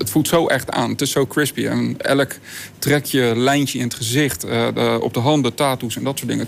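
Moderate-paced male speech against noticeable background noise. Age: 40s. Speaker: hologram company owner. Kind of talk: interview. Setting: studio loft.

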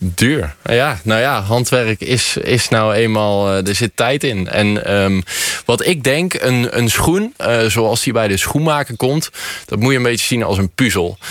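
Amid noticeable background noise, a man talks at a very slow pace with very even loudness and ordinary pitch variation. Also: medium pitch for a man. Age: 20s. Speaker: shoemaker. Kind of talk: radio interview. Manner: hesitant, many fillers.

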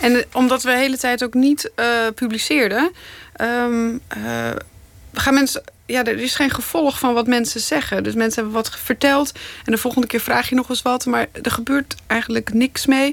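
Pitched high, a woman's voice moves at a moderate pace. The intonation is fairly even. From Netherlands, Zeeland. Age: 30s. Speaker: investigative journalist. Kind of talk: interview.

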